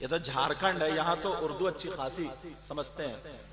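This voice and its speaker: A man's voice over noticeable background noise. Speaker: Islamic preacher. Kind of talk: religious sermon to a live audience. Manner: emotional, rousing.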